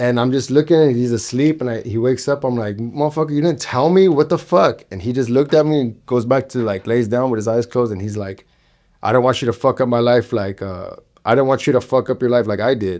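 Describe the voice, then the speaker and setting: A man speaks at a very fast pace with an American accent. The recording is very clean with a silent background. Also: medium pitch for a man, ordinary pitch variation. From Los Angeles area, Southern California. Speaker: photographer and creative director. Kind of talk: personal testimony in podcast interview. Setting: studio.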